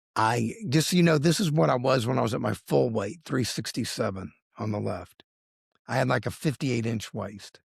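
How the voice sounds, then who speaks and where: At a moderate pace, a man with a medium-pitched voice and vocal fry speaks with lively intonation. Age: 60s. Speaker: lawyer and accountant sharing weight loss story. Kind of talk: interview testimony. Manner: animated.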